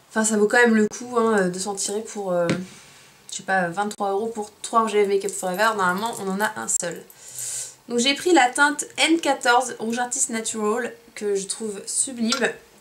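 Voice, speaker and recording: Ordinary pitch variation runs through a voice set against noticeable background noise. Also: woman, fairly high pitch for a woman. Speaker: beauty vlogger. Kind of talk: product haul review. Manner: fast; animated.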